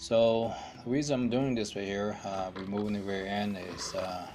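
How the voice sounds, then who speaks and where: Clear music plays behind a man whose fairly low voice moves at a very slow pace. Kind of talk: casual DIY commentary. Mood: mildly frustrated. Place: garage. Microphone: phone near.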